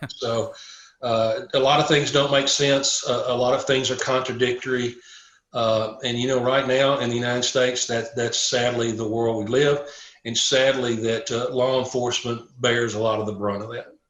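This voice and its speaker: In a Southern US accent, a man talks with monotone, flat intonation amid audible room echo. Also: medium pitch for a man, moderate pace. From Tennessee. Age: 60s. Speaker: police chaplain. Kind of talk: casual chat.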